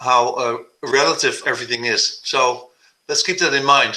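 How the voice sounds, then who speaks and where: A man speaks with a bright, sharp tone and a Dutch accent. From Netherlands. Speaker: composer and conductor. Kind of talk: video call talk. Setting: video call.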